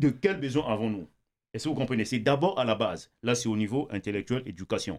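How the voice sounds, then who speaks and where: A man with medium pitch speaks with lively intonation. He has an ordinary speaking voice. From Congo. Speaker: writer and YouTuber. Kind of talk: debate discussion.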